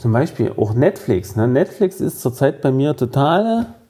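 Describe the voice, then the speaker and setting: A man speaks at a fairly slow pace with a dark, mellow tone, lively intonation and vocal fry. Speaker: podcast co-host. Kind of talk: casual chat.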